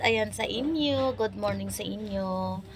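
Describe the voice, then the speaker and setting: Noticeable background noise surrounds a woman who talks at a very slow pace. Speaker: vlogger. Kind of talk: casual vlog to camera. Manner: halting, stumbling over words.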